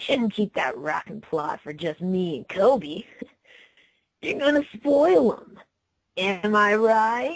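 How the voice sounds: Using a put-on character voice, a woman speaks slowly with lively intonation and a slightly husky edge. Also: medium pitch for a woman.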